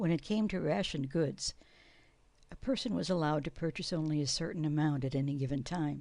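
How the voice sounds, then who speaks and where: Speaking at a moderate pace with an American accent, the voice has a dark, mellow tone and vocal fry. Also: woman. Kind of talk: family history narration over photos.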